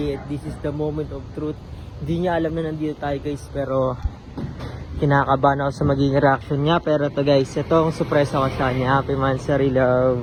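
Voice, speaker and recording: Over noticeable background noise, a man with a fairly high pitch talks fairly quickly in a monotone, flat intonation. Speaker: vlogger. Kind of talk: vlog. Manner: quieter, hushed.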